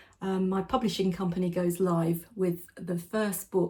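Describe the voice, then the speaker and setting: A woman speaks with an English accent in a dark, mellow tone. Her voice is somewhat breathy and fairly low in pitch. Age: 60s. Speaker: lifestyle vlogger. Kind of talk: direct-to-camera vlog talk. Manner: conversational.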